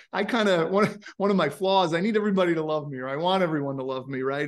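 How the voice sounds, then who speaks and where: The speaker is a man. He talks in a New York accent. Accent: American, New York. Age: 40s. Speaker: company founder and CEO. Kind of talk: interview. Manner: energetic.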